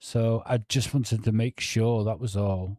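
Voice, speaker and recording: A man's medium-pitched voice with ordinary pitch variation and a dark, mellow tone, dry and close with no echo on a very clean recording with a silent background. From North Wales, near Liverpool. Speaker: true crime YouTuber. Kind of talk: livestream chat.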